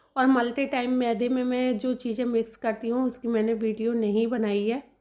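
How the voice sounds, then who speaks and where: A woman speaks at a high pitch with a dark, mellow tone and very even loudness. Her intonation is monotone and flat, in a very clean recording with a silent background. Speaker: vlogger. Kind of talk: cooking vlog narration.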